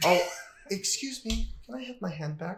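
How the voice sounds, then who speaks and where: Putting on a robotic character voice, a man speaks at a moderate pace, pitched high with very wide swings. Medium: actual play. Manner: mechanical, reserved.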